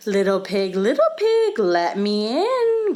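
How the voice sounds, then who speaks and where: A female-sounding, put-on character voice speaks at a fairly slow pace. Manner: growling, menacing.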